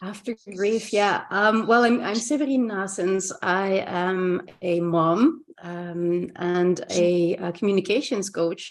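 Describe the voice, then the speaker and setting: A woman's medium-pitched voice in a Flemish Belgian accent, very slow yet with hardly any pauses, with ordinary pitch variation. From Belgium, Ghent (Flanders). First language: Dutch (Flemish). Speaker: communication coach. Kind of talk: casual interview chat. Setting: video call.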